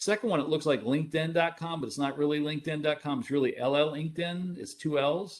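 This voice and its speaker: At a fairly quick pace, a man talks at a fairly high pitch. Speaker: cybersecurity expert presenter. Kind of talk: webinar presentation. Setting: online webinar. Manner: fast.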